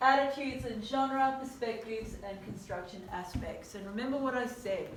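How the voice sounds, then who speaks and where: A woman's high-pitched voice with big swings in loudness, audible room echo and noticeable background noise. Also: ordinary pitch variation, moderate pace. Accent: Australian. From Australia. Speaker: teacher. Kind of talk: lecture.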